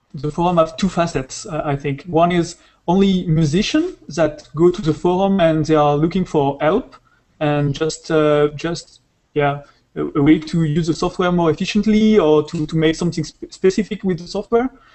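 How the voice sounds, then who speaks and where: With a French accent, a man speaks at a moderate pace in a high pitch, his intonation fairly even. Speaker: software developer. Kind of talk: interview. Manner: halting.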